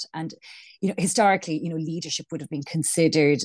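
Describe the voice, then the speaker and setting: In an Irish accent, a woman speaks with a very deep, low pitch and fairly even intonation. The sound is dry and close with no echo, against a quiet background. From Ireland. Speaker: business coach and founder. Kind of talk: casual interview chat. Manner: hesitant, filler-heavy.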